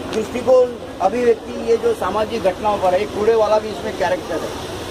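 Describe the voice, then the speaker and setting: A man with a high-pitched voice speaks in a fairly even tone over noticeable background noise. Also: moderate pace. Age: 60s. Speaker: tea vendor and author. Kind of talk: interview, life story.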